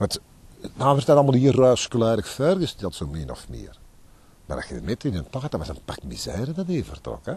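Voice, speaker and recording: In an Antwerp accent, a man with vocal fry talks at a moderate pace, his pitch swinging very widely and his loudness swinging hugely, in a dry sound with no echo. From Antwerp, Belgium. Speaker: dockworker and tour guide. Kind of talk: interview answer. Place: waterside. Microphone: handheld.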